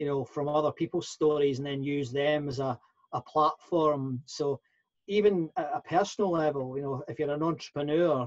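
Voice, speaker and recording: A man with a Scottish accent speaks at a moderate pace and a fairly high pitch. His intonation is fairly even, in a dry, close sound with no echo. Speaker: professional speaker and workplace consultant. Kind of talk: interview. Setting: podcast interview. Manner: halting, many fillers and repeats.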